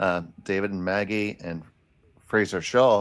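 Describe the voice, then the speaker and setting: Here a man speaks with a fairly low pitch. His intonation stays fairly even. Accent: American. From Philadelphia. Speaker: curling commentator. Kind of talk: live commentary.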